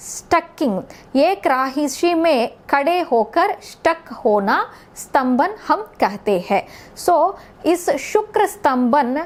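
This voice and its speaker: A woman is speaking here. Her pitch swings very widely. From South India. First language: South Indian language (not Hindi) (speaking Hindi). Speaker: astrologer. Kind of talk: astrology forecast talk.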